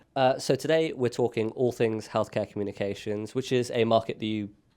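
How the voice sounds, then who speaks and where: A very fast, fairly low-pitched male voice with a British accent and ordinary pitch variation. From Britain. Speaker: podcast host. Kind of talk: casual podcast chat.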